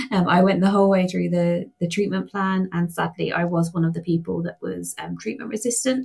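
A woman's fairly low voice with a British accent and ordinary pitch variation. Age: 40s. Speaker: patient advocate. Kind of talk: interview.

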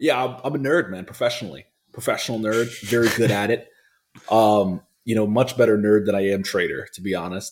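With an American accent, a man speaks at a fairly quick pace, his medium pitch showing ordinary variation. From Philadelphia, US. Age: 20s. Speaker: trader and investor. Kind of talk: interview. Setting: video studio.

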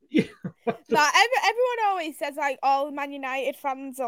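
A woman speaks at a moderate pace with a high pitch and very wide pitch swings. The sound is dry and close, with no echo. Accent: Mancunian. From Manchester, northern England. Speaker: football fan panellist. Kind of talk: casual chat.

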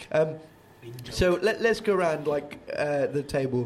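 A man's voice, with ordinary pitch variation, comes through noticeable background noise. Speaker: band vocalist hosting band podcast. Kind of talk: casual chat. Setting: late night recording after gig.

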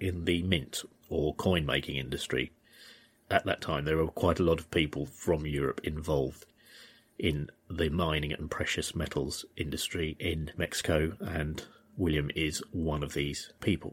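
A man's very deep, low voice with fairly even intonation on a very clean recording with a silent background. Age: 50s. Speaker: podcast host. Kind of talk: storytelling narration. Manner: halting.

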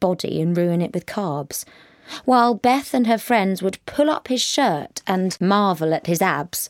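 This is an unforced reading voice. It is heard throughout the clip.

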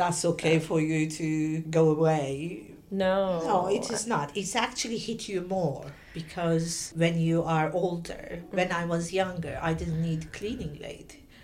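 A woman's fairly low voice at a fairly slow pace, hardly any pauses, ordinary pitch variation, and noticeable background noise. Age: 60s. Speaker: podcast guest. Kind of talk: casual chat.

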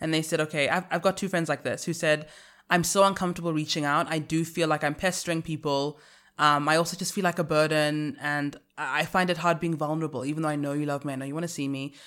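A woman's very deep, low voice, monotone and flat, at a very fast pace in a very clean recording with a silent background. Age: 20s. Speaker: podcast host. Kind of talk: casual chat.

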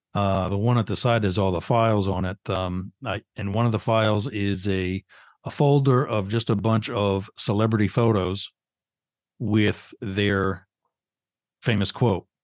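A man with an American accent talks in an unremarkable speaking voice, fairly low in pitch, at a fairly slow pace with fairly even intonation. The sound is dry and close with no echo, on a very clean recording with a silent background. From Pennsylvania. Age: 50s. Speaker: podcaster and retired secret service agent. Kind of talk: casual interview chat.

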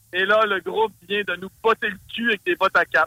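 A raised, projected voice with a bright, sharp tone and a Saguenay accent. The sound is dry and close with no echo, at a moderate pace. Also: man. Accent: Saguenay Québécois French. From Saguenay, Quebec. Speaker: metal musician and promoter. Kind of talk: casual interview.

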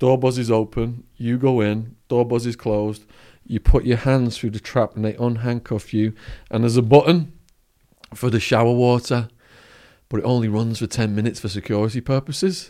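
A man with a northern English accent, medium pitch, dark and mellow tone, fairly even intonation and moderate pace, on a very clean recording with a silent background. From northern England. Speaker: former drug trafficker turned speaker. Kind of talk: storytelling interview.

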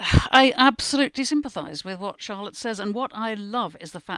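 A woman speaks with a British accent against a quiet background. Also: dry, close sound with no echo. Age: 70s. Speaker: newspaper columnist. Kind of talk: casual panel discussion.

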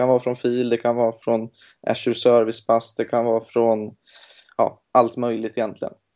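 This voice belongs to a man. Its pitch is medium. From Gothenburg, western Sweden. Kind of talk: casual interview. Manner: hesitant, many fillers.

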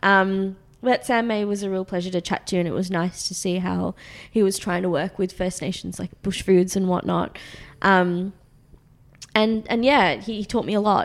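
With an Australian accent, a woman talks at a moderate pace and medium pitch, keeping her intonation fairly even. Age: 20s. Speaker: magazine founder and writer. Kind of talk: casual interview.

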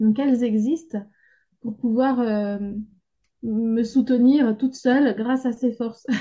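Pausing long and often, a woman talks at a very slow pace in a high, dark, mellow voice with fairly even intonation. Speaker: support group participant. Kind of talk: casual chat.

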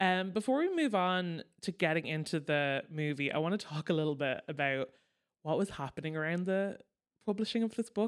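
With a plain, everyday voice, a woman talks at a moderate pace and fairly low pitch, her intonation lively and her loudness very even, on a very clean recording with a silent background. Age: 30s. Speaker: podcast co-host, pop culture commentator. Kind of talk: casual chat.

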